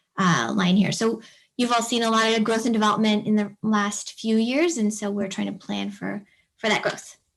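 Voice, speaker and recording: A woman speaks at a fairly high pitch, somewhat breathy. Her intonation stays fairly even. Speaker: city planning manager. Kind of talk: presentation at online public meeting. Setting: video call. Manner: fast.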